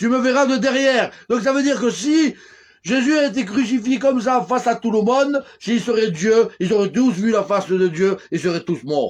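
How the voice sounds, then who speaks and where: A man's extremely high voice at a moderate pace against a quiet background. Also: ordinary pitch variation. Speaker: religious preacher. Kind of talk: live-streamed sermon. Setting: live stream. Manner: loud; animated.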